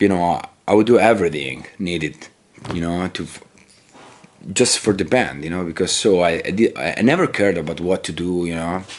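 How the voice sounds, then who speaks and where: A man's very deep, low voice in an Italian accent, fairly quick, with ordinary pitch variation. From Italy. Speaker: metal musician. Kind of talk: interview. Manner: halting.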